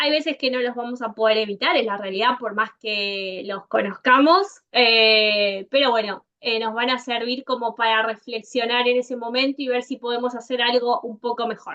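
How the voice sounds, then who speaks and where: In an Argentine accent, the speaker keeps a moderate pace with hardly any pauses and ordinary pitch variation. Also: woman, high pitch for a woman. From Argentina. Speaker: software consultant. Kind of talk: conference talk.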